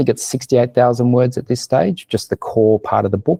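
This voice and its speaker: Against a quiet background, a man speaks very fast in a dark, mellow tone, the sound dry and close with no echo. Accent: Australian. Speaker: business marketing consultant. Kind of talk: webinar presentation.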